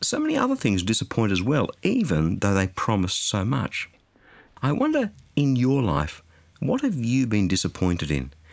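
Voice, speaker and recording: A man with an Australian accent speaks at a moderate pace with very even loudness. The recording is very clean, with a silent background. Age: 50s. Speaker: radio preacher. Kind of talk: sermon.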